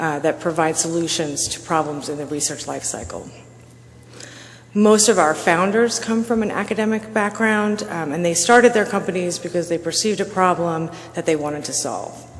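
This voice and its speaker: Soft-spoken at a moderate pace with ordinary pitch variation, the voice carries audible room echo. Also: woman. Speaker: conference speaker. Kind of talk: conference presentation.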